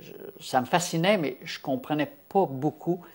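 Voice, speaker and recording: This man speaks with lively intonation on a very clean recording with a silent background. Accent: Quebec. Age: 70s. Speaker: health campaigner. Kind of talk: interview testimony. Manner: halting, many fillers.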